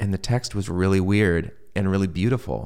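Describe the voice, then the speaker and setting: With an American accent, a man speaks at a moderate pace. His voice is fairly low, with ordinary pitch variation. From US Midwest, Michigan (Troy). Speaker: sci-fi writer. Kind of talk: interview conversation.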